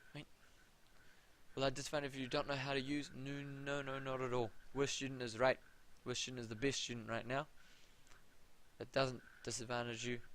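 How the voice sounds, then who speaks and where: A man with a New Zealand accent talks at a medium pitch and a fairly quick pace, with long, frequent pauses and a monotone, flat intonation. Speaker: maths tutor. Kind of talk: live tutorial. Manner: casual. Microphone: audio problems at start.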